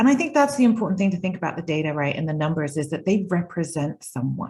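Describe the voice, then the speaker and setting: A woman speaks very fast in a fairly low, somewhat breathy voice with a dark, mellow tone and lively intonation. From UK. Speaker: data and analytics consultant. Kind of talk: panel discussion. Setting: video call.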